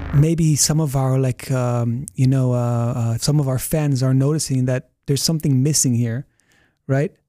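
A man's dark, mellow tone at medium pitch, with fairly even intonation and very even loudness. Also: moderate pace, dry, close sound with no echo. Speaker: podcast co-host. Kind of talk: casual chat.

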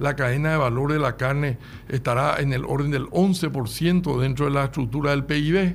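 A man with a Paraguayan accent, fairly high-pitched for a man, at a fairly slow pace, with very even loudness and fairly even intonation. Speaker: livestock industry representative. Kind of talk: radio interview.

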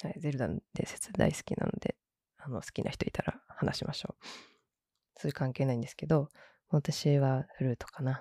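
With a very deep, low pitch and a dark, mellow tone, a woman speaks at a moderate pace, somewhat breathy and with lively intonation, her loudness swinging widely in a dry, close sound with no echo. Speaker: podcast host. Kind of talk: casual solo podcast talk.

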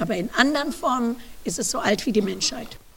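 A woman with a fairly high pitch and ordinary pitch variation speaks at a moderate pace amid audible room echo. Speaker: professor. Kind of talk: lecture.

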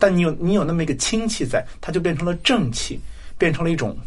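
The intonation is lively. Audible room echo surrounds the voice. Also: man. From Shanxi, China. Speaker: historian. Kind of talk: interview conversation.

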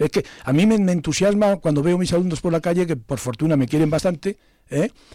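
A man's high voice with a dark, mellow tone, fairly quick pace and ordinary pitch variation on a very clean recording with a silent background. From Zamora, Spain. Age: 60s. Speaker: poet and retired philosophy teacher. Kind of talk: radio interview. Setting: studio.

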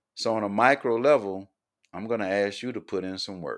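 A man with an American accent and a fairly low pitch, at a moderate pace, in a very clean recording with a silent background. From US South, Columbia, South Carolina. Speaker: podcast host, social justice advocate. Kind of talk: podcast monologue, promotional introduction.

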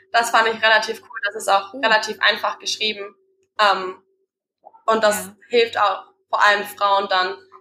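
Monotone, flat intonation in a woman's voice of medium pitch. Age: 20s. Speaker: personal trainer and business founder. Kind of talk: casual interview.

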